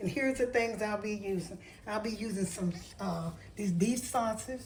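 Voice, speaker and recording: Somewhat breathy and dark, mellow in tone, a woman's fairly high voice moves at a fairly slow pace with ordinary pitch variation, and room echo is audible. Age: 70s. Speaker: home cooking video host. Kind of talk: cooking tutorial. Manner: casual, with hesitations.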